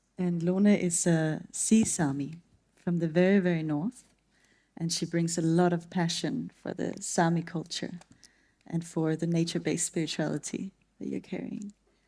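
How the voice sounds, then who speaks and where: With a Danish accent, a woman talks at a moderate pace in a dark, mellow tone, fairly low in pitch and with fairly even intonation. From Denmark. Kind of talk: introducing a colleague, presenting.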